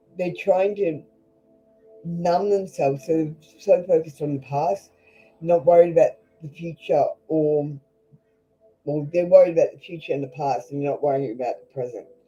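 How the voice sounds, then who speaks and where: Someone with an Australian accent speaks with long, frequent pauses while music plays in the background. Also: moderate pace. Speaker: tarot reader. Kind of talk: live tarot reading stream. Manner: blunt, casual.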